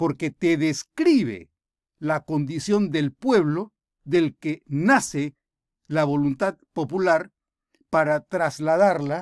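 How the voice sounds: A man speaks at a fairly high pitch with a slightly mellow tone and ordinary pitch variation. The recording is very clean and dry, close, with a silent background and no echo.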